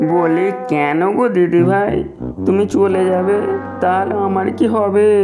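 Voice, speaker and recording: Over loud background noise, a cartoonish character voice at middle pitch speaks at a fairly slow pace. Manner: whining.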